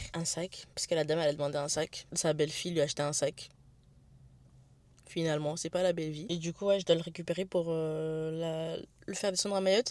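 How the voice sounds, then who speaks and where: Over a silent background on a very clean recording, a woman talks at a fairly quick pace. Her intonation is monotone and flat, with long, frequent pauses. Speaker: vlogger. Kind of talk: vlog. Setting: in a car. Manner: fast; halting.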